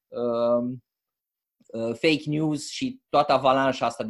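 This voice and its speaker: A man talks at a very slow pace. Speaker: book club host. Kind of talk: online club meeting. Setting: video call. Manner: halting.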